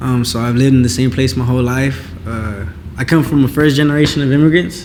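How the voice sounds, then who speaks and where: Very fast speech from a man at medium pitch with ordinary pitch variation, noticeable background noise and audible room echo. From Inglewood, California, US. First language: Spanish. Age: 18. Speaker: singer-songwriter. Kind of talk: casual interview.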